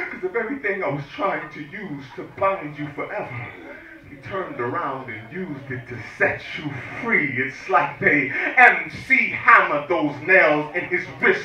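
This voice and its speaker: A man's high voice with lively intonation and big swings in loudness, at a moderate pace over noticeable background noise. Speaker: spoken word poet. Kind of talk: spoken word poetry performance. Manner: forceful, emphatic.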